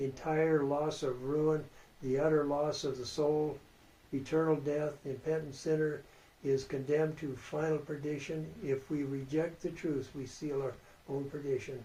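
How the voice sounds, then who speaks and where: A man speaks in a monotone with flat intonation and a fairly high pitch. His tone is dark and mellow, and somewhat breathy. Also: moderate pace. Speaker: Bible prophecy teacher. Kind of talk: Bible study lecture.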